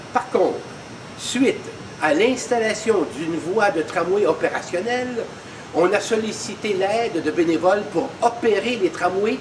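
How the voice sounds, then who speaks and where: Through noticeable background noise, a man with a high voice speaks at a fairly slow pace with ordinary pitch variation. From Quebec, Montreal. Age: 70s. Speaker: museum volunteer. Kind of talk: personal testimony.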